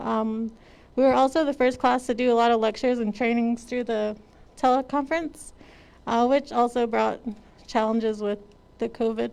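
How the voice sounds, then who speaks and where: A woman speaks at a moderate pace with fairly even intonation. Her fairly high voice is broken by long, frequent pauses. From Navajo Nation, Arizona. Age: 20s. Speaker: police officer graduate. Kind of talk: graduation speech.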